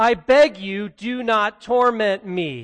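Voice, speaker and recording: In a put-on character voice, a man hisses at a very slow pace and a high pitch. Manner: menacing, pleading.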